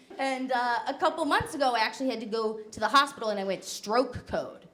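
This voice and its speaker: A woman with an American accent and an unremarkable speaking voice, fairly high in pitch, at a moderate pace. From New Jersey. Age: 20s. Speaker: comedian. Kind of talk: stand-up.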